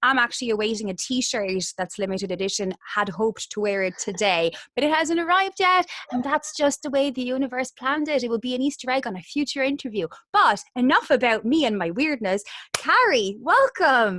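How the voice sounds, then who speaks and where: Speaking in a Waterford accent, a woman has a high pitch with very wide pitch swings. Her pace is fairly quick. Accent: Irish, Waterford. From Ireland, Waterford. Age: 30s. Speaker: interviewer, podcast host. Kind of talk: casual interview chat.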